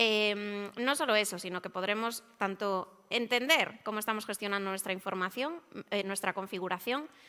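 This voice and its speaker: Medium pitch from a woman with ordinary pitch variation, in a very clean recording with a silent background. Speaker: IT service management consultant. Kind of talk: conference presentation. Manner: fast.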